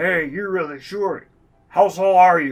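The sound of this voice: A man's put-on character voice, high-pitched, at a fairly slow pace, with ordinary pitch variation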